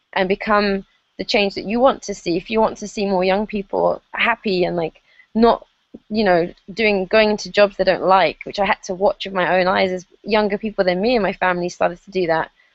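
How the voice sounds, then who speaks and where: A woman's medium-pitched voice with an English accent, fairly quick in pace and fairly even in intonation. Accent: very English. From England. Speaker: online marketer. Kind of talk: interview. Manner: hesitant, many fillers.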